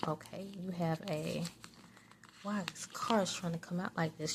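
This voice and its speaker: Her medium pitch and ordinary pitch variation mark this woman's ordinary speaking voice. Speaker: tarot reader and psychic. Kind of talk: casual talk to camera, tarot reading. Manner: soft-spoken, conversational.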